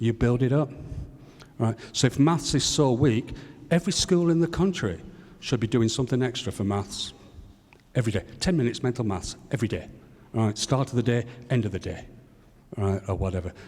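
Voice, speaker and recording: This man speaks at a fairly quick pace with lively intonation. His voice is somewhat breathy, and he leaves long, frequent pauses. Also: medium pitch for a man. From United Kingdom. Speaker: educator, audience member. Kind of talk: audience question at a panel forum. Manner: animated.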